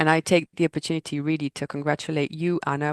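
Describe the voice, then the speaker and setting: A woman speaks in a French accent with a very deep, low pitch and fairly even intonation. Her moderate pace comes through a dry, close sound with no echo over a quiet background. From Corsica, France. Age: 40s. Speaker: purchasing department leader. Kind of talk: interview.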